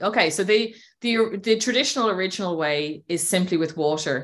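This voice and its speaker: Recorded very cleanly against a silent background, a woman with an Irish accent speaks at medium pitch with ordinary pitch variation. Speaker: healer and women's empowerment mentor. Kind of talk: casual interview chat.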